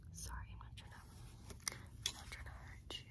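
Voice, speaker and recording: A woman is speaking amid loud background noise. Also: dry sound with no echo. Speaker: ASMR creator. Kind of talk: ASMR personal attention role play. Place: home room. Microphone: phone near.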